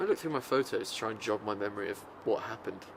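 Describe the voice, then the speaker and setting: Fairly quick speech from a man with an English accent. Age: 20s. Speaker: musical theatre student. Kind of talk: interview. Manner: casual, hesitant with fillers.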